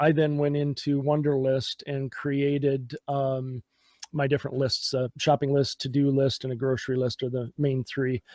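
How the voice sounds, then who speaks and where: Using a Minnesotan accent, a man speaks at a fairly slow pace in a fairly high pitch, the sound dry and close with no echo. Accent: Minnesota. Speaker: podcast guest, tech enthusiast. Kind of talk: casual chat. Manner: hesitant, many fillers.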